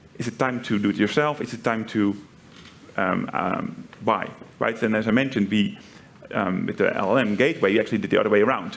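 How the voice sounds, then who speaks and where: At a fairly quick pace, a man with a Dutch accent talks at a medium pitch with ordinary pitch variation. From Netherlands. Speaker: tech company executive. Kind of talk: panel interview. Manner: frequent fillers and repetitions.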